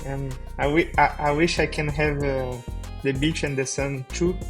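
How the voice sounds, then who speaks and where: A man talks at a fairly slow pace over music in the background. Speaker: podcast host. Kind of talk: podcast host talk.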